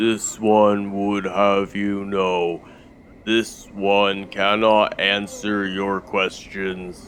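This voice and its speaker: Using a put-on character voice, a man speaks very slowly at a fairly low, resonant pitch in a flat monotone. Background noise is clearly heard. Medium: actual play. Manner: formal, speaks of himself in third person.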